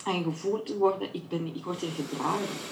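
There is audible room echo and noticeable background noise as a woman talks at a fairly low pitch. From Belgium, Flemish Brabant (Kortenberg). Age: 40s. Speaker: women's circle facilitator. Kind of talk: interview. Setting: video call. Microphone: poor audio, recorded through host's microphone.

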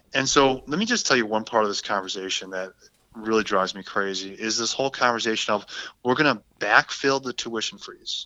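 With a Wisconsin accent, a man talks at a medium pitch and a fairly quick pace. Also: ordinary pitch variation. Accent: Upper Midwest (Wisconsin). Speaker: state senator. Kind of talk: interview.

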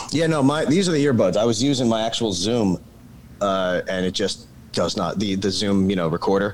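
Over noticeable background noise, a man speaks at a fairly low pitch with lively intonation. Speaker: screenwriter. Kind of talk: casual chat. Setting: video call.

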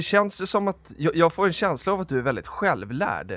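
A man's high voice carries lively intonation as he talks at a moderate tempo. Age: 20s. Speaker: podcast host. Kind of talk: casual chat.

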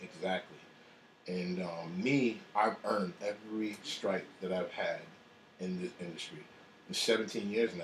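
Through noticeable background noise, a man with a fairly low voice speaks fairly slowly with ordinary pitch variation and long, frequent pauses. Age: 30s. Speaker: executive chef. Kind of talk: interview.

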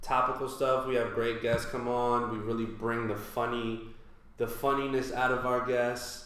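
Monotone, flat delivery from a man with an American accent, with audible room echo. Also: medium pitch for a man, moderate pace. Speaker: stand-up comedian. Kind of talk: casual chat.

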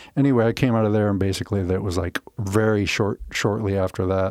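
At a very fast pace, a man with an American accent talks in a fairly low pitch and fairly even intonation, the sound dry and close with no echo over a quiet background. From Omaha, Nebraska (US Midwest). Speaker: videographer. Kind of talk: interview. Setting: studio.

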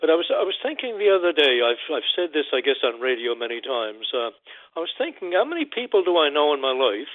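Speaking at a fairly quick pace, a man with a Newfoundland accent uses lively intonation and a fairly high pitch. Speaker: caller. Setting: phone call. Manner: halting.

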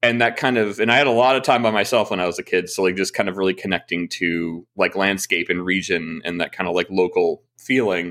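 A man talks in an unremarkable speaking voice with a fairly low pitch and ordinary pitch variation. His pace is fairly quick, with hardly any pauses. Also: very clean recording, silent background. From moved around US (Texas, Ohio, California, New Jersey). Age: 30s. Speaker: animator and game creator. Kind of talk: casual chat.

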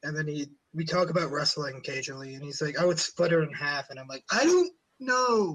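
Speaking with an American accent in an ordinary speaking voice, a man talks at a fairly quick pace and fairly high pitch. His pitch variation is ordinary, while his loudness swings widely. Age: young. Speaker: podcast host. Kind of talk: casual chat.

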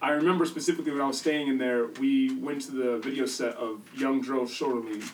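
Against noticeable background noise, a man with an American accent speaks at medium pitch with fairly even intonation. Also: fairly quick pace. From US Midwest. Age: 30s. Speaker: music producer. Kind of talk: casual interview chat.

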